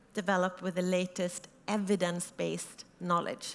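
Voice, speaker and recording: A woman with a Swedish accent, medium in pitch, speaking at a fairly slow pace. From Sweden. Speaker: startup founder. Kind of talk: conference talk. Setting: stage with audience.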